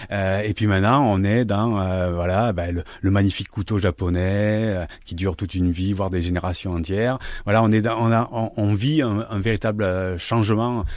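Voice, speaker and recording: Moderately paced speech from a man, fairly low in pitch. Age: 50s. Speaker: sociologist. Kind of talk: radio interview. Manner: halting, many repetitions.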